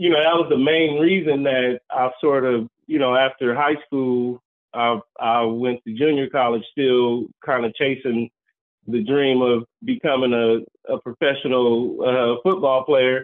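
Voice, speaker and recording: A man speaks at a fairly slow pace with a medium pitch. His intonation stays fairly even. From Los Angeles, California (South Central). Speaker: community lender, cooperative business advocate. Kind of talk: interview. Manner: halting, many fillers.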